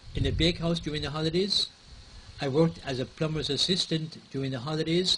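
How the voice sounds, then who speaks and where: A man at a moderate pace, fairly high in pitch with fairly even intonation, amid noticeable background noise. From Ireland. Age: 70s. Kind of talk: personal life story interview.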